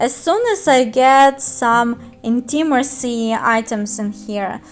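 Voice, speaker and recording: A high-pitched woman's voice with a Russian accent and ordinary pitch variation. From Russian-speaking country. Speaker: gaming youtuber. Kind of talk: tutorial. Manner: halting.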